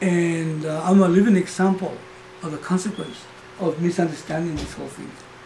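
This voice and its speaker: A man speaks in a high voice with flat, monotone delivery. His volume rises and falls sharply, and there's noticeable noise in the background. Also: fairly quick pace. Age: 60s. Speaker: Vedanta teacher. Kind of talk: spiritual talk. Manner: conversational.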